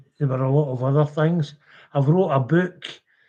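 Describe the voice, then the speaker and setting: A man with a west of Scotland accent speaks at a fairly high pitch, somewhat breathy, with a dark, mellow tone. His intonation stays flat and monotone. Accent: Scottish (west of Scotland). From Scotland, Renfrewshire. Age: 70s. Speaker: orphanage survivor and campaigner. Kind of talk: live stream testimony.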